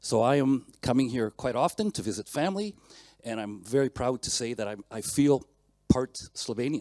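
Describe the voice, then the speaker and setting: A man with a Canadian accent speaks at a fairly quick pace and a medium pitch, his tone dark and mellow. The sound is dry and close with no echo, and the recording is very clean over a silent background. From Canada. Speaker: mechanical engineer, conference speaker. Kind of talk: conference talk. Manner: fast.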